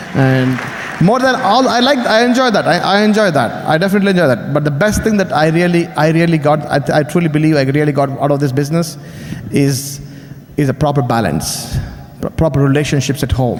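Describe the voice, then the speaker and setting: With an Indian accent, the speaker moves at a fairly quick pace with lively intonation and very even loudness, amid audible room echo and noticeable background noise. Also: man, fairly high pitch for a man. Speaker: business speaker. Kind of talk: motivational speech.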